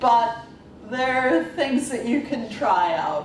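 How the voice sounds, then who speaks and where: A woman speaks very slowly at a fairly high pitch. Noticeable background noise and audible room echo are present. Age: 60s. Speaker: workshop presenter, computing academic. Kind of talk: workshop presentation. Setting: conference workshop with audience. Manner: halting, with many fillers.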